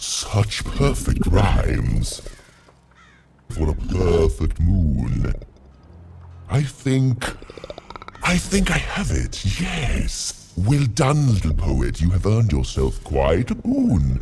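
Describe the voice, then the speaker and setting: Using a put-on character voice, a man speaks fairly low for a man and very slowly. Long pauses come often. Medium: video game. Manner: pompous, grandiloquent.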